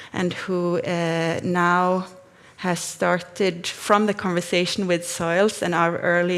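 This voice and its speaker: Fairly slow female speech amid noticeable background noise. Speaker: researcher. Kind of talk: conference talk. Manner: halting.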